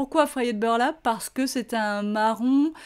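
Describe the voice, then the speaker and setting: The recording is very clean, with a silent background. A woman speaks at a fairly slow pace. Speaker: craft shop owner and tutorial host. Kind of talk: craft tutorial. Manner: hesitant fillers.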